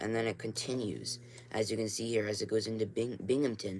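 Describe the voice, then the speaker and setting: Flat, monotone delivery with vocal fry at a fairly quick pace. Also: man. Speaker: amateur weather streamer. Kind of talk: live stream weather briefing. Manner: casual, filler-heavy.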